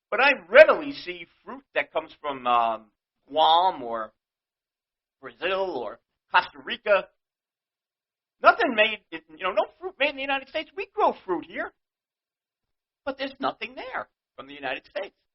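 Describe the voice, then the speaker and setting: Animated and high-pitched, a man with a New York accent talks at a moderate pace, with very wide pitch swings, big swings in loudness and long, frequent pauses. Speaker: podcast host. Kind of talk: rant.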